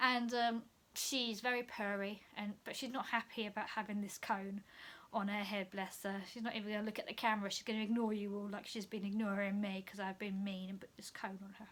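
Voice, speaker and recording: This woman speaks fairly quickly at a medium pitch. Her intonation stays monotone and flat. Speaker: cross stitch hobbyist. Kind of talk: casual talk to camera.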